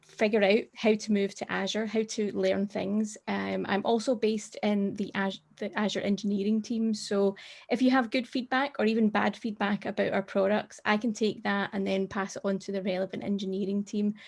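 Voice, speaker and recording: Speaking with a Scottish accent, a woman keeps a medium pitch and a monotone, flat intonation at a moderate pace with hardly any pauses. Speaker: tech advocate. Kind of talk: presentation.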